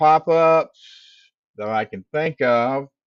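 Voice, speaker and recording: A man's very slow speech, dry and close with no echo. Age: 70s. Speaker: livestream host. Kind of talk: casual livestream talk. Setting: livestream studio. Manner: halting.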